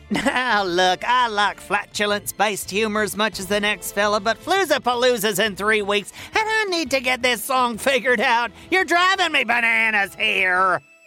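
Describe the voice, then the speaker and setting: Faint music sits in the background as a put-on character voice speaks at a moderate pace. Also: man, high pitch for a man. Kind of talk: kids' comedy audio drama. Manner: exasperated, theatrical, self-important.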